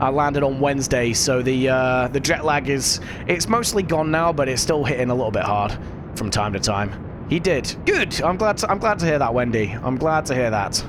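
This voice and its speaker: Speaking with a British accent and lively intonation, a man keeps his loudness very even amid audible room echo and noticeable background noise. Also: medium pitch for a man, moderate pace. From UK. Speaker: gaming streamer. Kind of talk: live gameplay stream chat. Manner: casual, halting with fillers.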